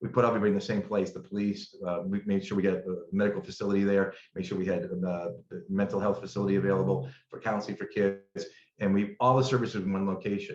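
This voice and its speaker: Speaking at a very fast pace with a New England accent, a man uses a fairly low pitch and ordinary pitch variation. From Massachusetts, Berkshires. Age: 60s. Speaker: attorney and district attorney candidate. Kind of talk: interview. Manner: halting, with frequent repetitions.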